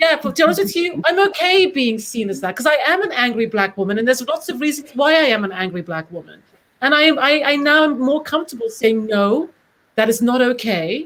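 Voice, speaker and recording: Fairly quick speech in a British accent with very wide pitch swings. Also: woman, high pitch for a woman. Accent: British, proper. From Britain. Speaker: casting director. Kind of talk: panel discussion.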